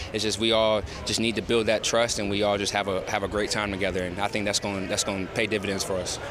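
A man speaks very fast in a monotone, flat delivery with an American accent. His pitch sits fairly low, and there is noticeable background noise. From Georgia, US South. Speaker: football player. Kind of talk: interview. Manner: halting.

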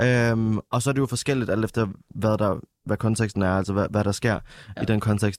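An unremarkable speaking voice at a moderate pace, with very even loudness and fairly even intonation, in a dry, close sound with no echo and a very clean recording against a silent background. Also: man, fairly low pitch for a man. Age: 20s. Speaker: musician and nightlife worker. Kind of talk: casual chat.

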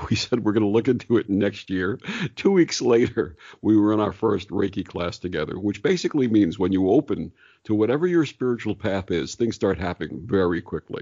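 Speaking at a fairly quick pace, a man with a fairly low pitch uses lively intonation. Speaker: radio host and meditation guide. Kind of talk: interview about spirituality. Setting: remote, separate rooms. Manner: calm.

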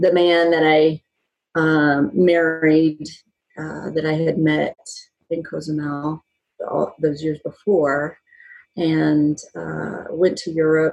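Monotone, flat intonation with long, frequent pauses. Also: woman. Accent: American. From Texas, Dallas. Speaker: yoga teacher and bodyworker. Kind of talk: casual interview chat. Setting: in person, socially distanced.

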